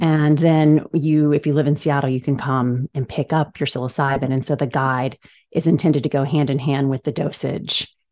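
A woman's very deep, low pitch and dark, mellow tone with monotone, flat intonation on a very clean recording with a silent background. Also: moderate pace. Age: 40s. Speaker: founder of a psychedelic wellness brand for women. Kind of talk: interview.

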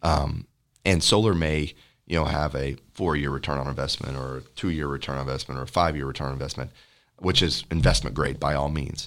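A man with a Texan accent, very deep, low pitch and vocal fry, at a fairly quick pace with fairly even intonation, on a very clean recording with a silent background. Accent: Texan American English. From Texas. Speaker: solar energy company representative. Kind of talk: podcast interview. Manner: many filler words, hesitant.

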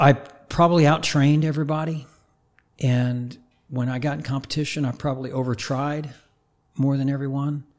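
A man speaks with an American accent at a medium pitch and moderate pace. His intonation is monotone and flat, on a very clean recording with a silent background. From Oklahoma, small town north of Tulsa. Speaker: high performance coach. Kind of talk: casual interview.

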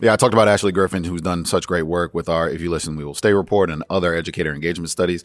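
Very fast speech from a man with a very deep, low voice, fairly even intonation and an American accent. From Atlanta, Georgia, US. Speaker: education policy staffer. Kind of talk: interview conversation. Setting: recorded at a conference.

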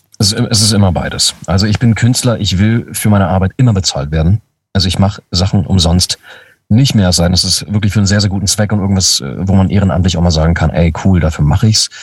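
A man speaks at a very fast pace in a very deep, low voice, with very even loudness, a somewhat breathy quality and ordinary pitch variation. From Lower Saxony, Germany (Braunschweig). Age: 30s. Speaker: voice actor. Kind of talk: casual chat.

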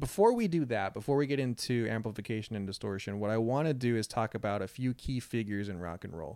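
A man's dark, mellow voice at medium pitch, very fast, with ordinary pitch variation. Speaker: podcast host. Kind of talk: casual chat. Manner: natural tone, not read-sounding.

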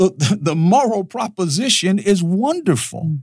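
This man has an American accent and a high pitch with very wide pitch swings. The recording is very clean, with a silent background. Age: 70s. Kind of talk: interview discussion.

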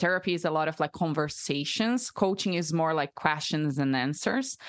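A woman's very deep, low voice in a Portuguese accent, at a moderate pace with ordinary pitch variation, dry and close with no echo, over a quiet background. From Brazil. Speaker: breathwork facilitator. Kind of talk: interview.

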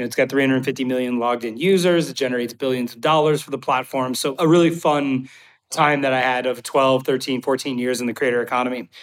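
A man talks with a normal speaking voice at medium pitch and a fairly quick pace. His intonation stays fairly even. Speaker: tech company CEO. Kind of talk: casual interview.

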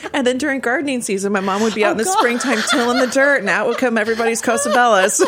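A high-pitched woman speaking very fast at a very even loudness, with noticeable background noise. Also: ordinary pitch variation. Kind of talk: casual interview chat. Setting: studio.

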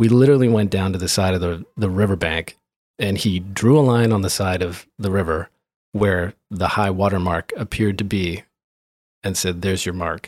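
A man with a Canadian accent and a very deep, low pitch, at a moderate pace with fairly even intonation, on a very clean recording with a silent background. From interior British Columbia, Canada (Grand Forks). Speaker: architect. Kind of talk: interview. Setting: in person, Vancouver.

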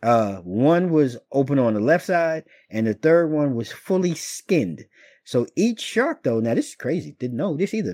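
A man with an American accent speaks at a moderate pace, his fairly high pitch swinging very widely in a dark, mellow tone. The recording is very clean and dry, close with no echo and a silent background. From Washington DC area. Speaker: podcast host. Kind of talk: casual chat. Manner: casual, friendly.

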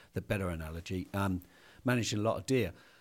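A man in a British accent speaks at a very fast pace with ordinary pitch variation. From Britain. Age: 50s. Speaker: hunting equipment company founder. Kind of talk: casual chat. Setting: studio.

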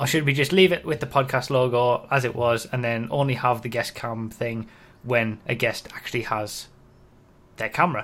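This man uses a normal speaking voice at a medium pitch, with ordinary pitch variation. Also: moderate pace, very clean recording, silent background. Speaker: YouTuber and podcast host. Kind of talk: casual chat.

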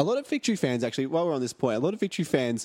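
A man speaks with an Australian accent on a very clean recording with a silent background. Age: 20s. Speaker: football fan podcast host. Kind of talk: casual chat. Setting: home studio.

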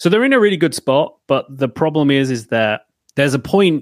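This man has a plain, everyday voice with ordinary pitch variation and a fairly quick pace. The recording is very clean and silent in the background, with a dry, close sound and no echo. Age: 30s. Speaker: developer advocate. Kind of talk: casual chat.

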